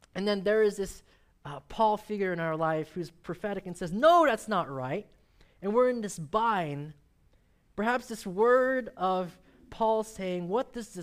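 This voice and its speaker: A fairly slow delivery on a very clean recording with a silent background. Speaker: preacher. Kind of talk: sermon. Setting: church.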